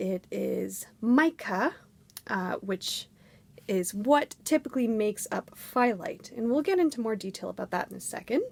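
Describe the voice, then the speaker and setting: A woman's raspy, put-on character voice, fairly high in pitch, at a moderate pace. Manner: lecturing, explanatory.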